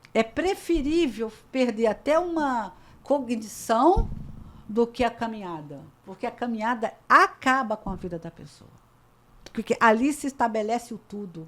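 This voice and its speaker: The speaker is a woman with a fairly high pitch. Her voice moves through very wide pitch swings. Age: 60s. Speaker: talk show host. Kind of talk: panel discussion. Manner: animated.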